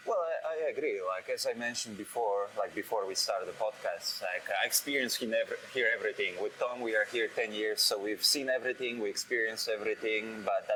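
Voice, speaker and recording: Noticeable background noise runs under a man talking at a very fast pace with hardly any pauses. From Poland. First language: Polish. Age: 30s. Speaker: head brewer. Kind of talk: interview. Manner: halting, with many fillers.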